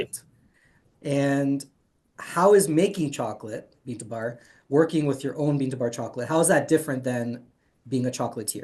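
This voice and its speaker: A man's normal speaking voice at a fairly high pitch, fairly quick in pace, with ordinary pitch variation. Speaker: chocolate interview show host. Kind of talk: interviewer questions.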